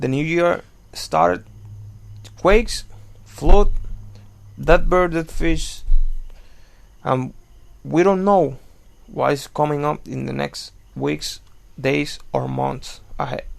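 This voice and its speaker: A man with a non-native accent, very slow, with long, frequent pauses and big swings in loudness. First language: not English. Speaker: news commentary video maker. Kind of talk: casual commentary. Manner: halting.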